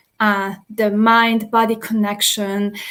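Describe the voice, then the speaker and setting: A woman speaks at a very slow pace. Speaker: physiotherapist and neuroscientist. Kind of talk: online panel presentation.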